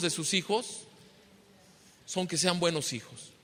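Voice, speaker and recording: Raising and projecting his voice, a man speaks at a fairly slow pace. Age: 60s. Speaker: pastor. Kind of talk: sermon. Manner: repetitive filler questions.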